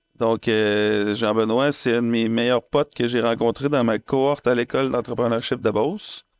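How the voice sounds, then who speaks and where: The man's pitch sits in the medium range, and his intonation stays fairly even. He speaks at a fairly slow pace against a quiet background. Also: dry, close sound with no echo. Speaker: podcast co-host. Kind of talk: casual chat.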